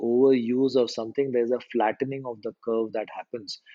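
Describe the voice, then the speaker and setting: A dark, mellow tone with an Indian accent, monotone and flat in intonation, at a moderate pace, in a dry, close sound with no echo. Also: man. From India, small town. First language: Hindi. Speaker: storytelling coach. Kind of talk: podcast interview.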